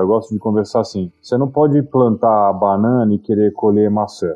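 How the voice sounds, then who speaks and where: A man talks at a fairly quick pace in medium pitch. He has a plain, everyday voice. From Brazil, Itu (São Paulo state). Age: 40s. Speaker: entrepreneur and investor. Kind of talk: interview.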